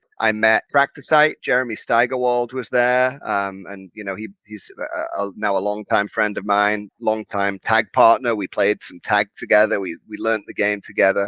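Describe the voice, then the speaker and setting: A man with a Liverpool accent talks at a moderate pace with hardly any pauses, his fairly low voice bright and sharp in tone with fairly even intonation. His loudness swings widely, and the sound is dry and close with no echo. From northern England, Liverpool. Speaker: wrestling card game community organizer. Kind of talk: interview.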